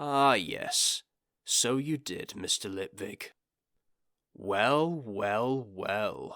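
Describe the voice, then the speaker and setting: A man puts on a raspy character voice at a medium pitch, with lively intonation. He speaks at a very slow pace, with long, frequent pauses. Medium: read story. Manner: dry, measured, understated.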